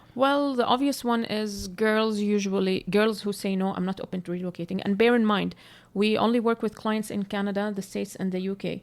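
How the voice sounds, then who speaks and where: A woman speaks at a medium pitch with a non-native accent. Her pace is fairly quick, her intonation fairly even, and the recording very clean with a silent background. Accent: noticeable non-native English. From Palestine. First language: Arabic. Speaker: matchmaker podcast co-host. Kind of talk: casual chat. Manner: occasional halting word searches.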